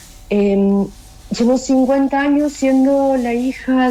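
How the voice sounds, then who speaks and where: A woman with a high pitch talks at a very slow pace, using ordinary pitch variation. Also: very even loudness. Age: 60s. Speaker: daughter of a disappeared person, human rights testimony. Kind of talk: testimony.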